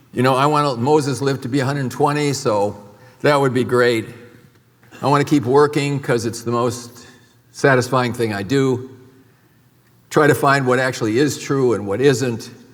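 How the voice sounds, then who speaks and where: A man at medium pitch, moderate pace and fairly even intonation, with long, frequent pauses and audible room echo. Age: 70s. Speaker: medical doctor. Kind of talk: conference talk.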